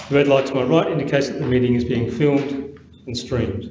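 Speech comes at a very fast pace. Light background noise and audible room echo are present. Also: man. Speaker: council meeting officer. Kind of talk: formal procedural announcement. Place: hall. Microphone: podium.

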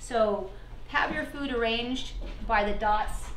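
Pitch variation is ordinary. There is audible room echo and light background noise. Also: woman. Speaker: chef hosting a virtual wine dinner. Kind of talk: hosted event presentation. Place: kitchen. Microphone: camera far.

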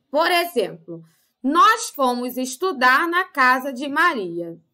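Against a quiet background, a woman uses a raised, projected voice with a bright, sharp tone. She speaks at a very slow pace with very wide pitch swings. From Brazil. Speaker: primary school teacher. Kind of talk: lesson for children. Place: home room.

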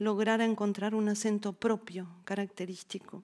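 Fairly high-pitched woman's voice, dark and mellow in tone, at a fairly slow pace against a quiet background. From Argentina. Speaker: art historian and university dean; lecturer. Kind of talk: lecture. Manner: formal. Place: hall. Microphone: podium.

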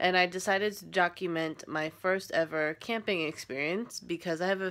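An ordinary speaking voice from a woman, fairly low-pitched, with ordinary pitch variation and a moderate pace. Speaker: first-time vlogger. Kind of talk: casual vlog chat. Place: home room. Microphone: phone near.

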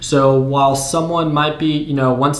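A man with a fairly high pitch and audible room echo. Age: 20s. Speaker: YouTube day trading educator. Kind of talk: casual tutorial to camera. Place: home room.

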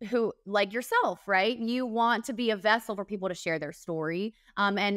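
A woman talks at a moderate pace with fairly even intonation. The sound is dry with no echo, and the background is quiet. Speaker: TV reporter guest. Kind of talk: interview answer. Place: home room. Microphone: video call.

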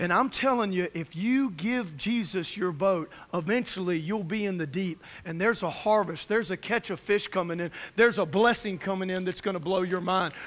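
Speaking at a moderate pace with few pauses, a man has a high pitch, a fairly bright tone and ordinary pitch variation.

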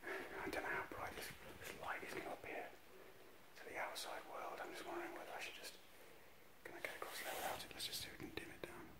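The speech comes at a very fast pace. Loud background noise runs underneath. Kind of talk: casual vlog commentary. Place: hall. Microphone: phone near.

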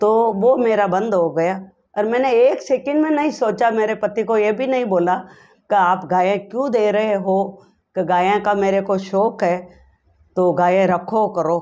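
With a dark, mellow tone and very even loudness, a woman talks at a fairly slow pace with ordinary pitch variation. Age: 70s. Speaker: patient giving testimonial. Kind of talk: testimony. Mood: grateful, warm. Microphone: lapel.

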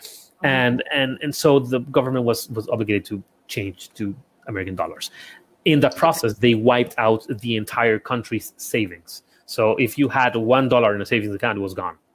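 A man at medium pitch with a Spanish accent, fairly quick pace and ordinary pitch variation. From Ecuador. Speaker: architect and small business consultant; guest. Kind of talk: interview conversation. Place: home room. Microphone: earbuds.

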